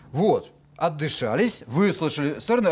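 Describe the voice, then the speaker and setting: The pitch of this man's voice swings very widely. He goes at a fairly slow pace. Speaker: TV talk show host. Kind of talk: TV studio discussion. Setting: TV studio. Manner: ironic. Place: studio. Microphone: headset.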